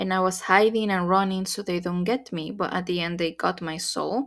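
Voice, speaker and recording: A woman speaks at a moderate pace with a Spanish accent. Her medium-pitched voice shows ordinary pitch variation in a very clean recording with a silent background. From Mexico. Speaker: spiritual content creator. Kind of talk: personal testimony.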